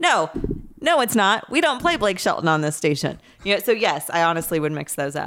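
A woman speaks at a moderate pace with a fairly low pitch, lively intonation, and an unremarkable speaking voice. The recording is very clean, with a silent background. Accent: American. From Indianapolis, Indiana (east side). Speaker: startup founder. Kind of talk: casual chat.

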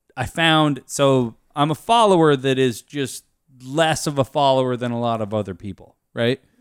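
Recorded very cleanly against a silent background, with a dry, close sound and no echo, a man with a normal speaking voice and an American accent talks at a moderate pace and medium pitch with ordinary pitch variation. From US Pacific Northwest (Aberdeen, Washington). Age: 20s. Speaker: podcast guest, friend of host working in his company. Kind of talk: casual chat. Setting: studio with beer drinking.

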